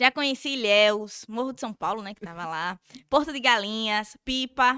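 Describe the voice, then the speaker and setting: A woman's medium-pitched voice in a strong Sergipe accent, bright and sharp in tone, with ordinary pitch variation and a dry, close sound with no echo. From Brazil, Sergipe (Nossa Senhora do Socorro, near Aracaju). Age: 20s. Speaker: social media influencer. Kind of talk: casual chat. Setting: studio.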